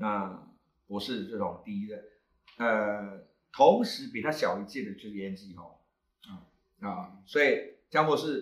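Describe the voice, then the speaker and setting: His pitch swings very widely as a man talks fairly slowly. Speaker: astronomy club founder and teacher. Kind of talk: casual panel talk.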